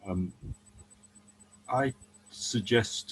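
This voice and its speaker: This man speaks at a very slow pace, somewhat breathy, with ordinary pitch variation. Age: 70s. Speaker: economist. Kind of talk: casual chat. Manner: hesitant, with many ums.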